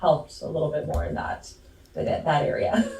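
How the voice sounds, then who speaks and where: Noticeable background noise fills the clip. Through it, a woman speaks very fast. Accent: Canadian. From Canada. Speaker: climate communications expert. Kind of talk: webinar talk.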